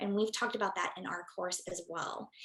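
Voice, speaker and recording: An unremarkable speaking voice at a fairly quick pace. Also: woman. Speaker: psychiatrist giving a program testimonial. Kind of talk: testimony.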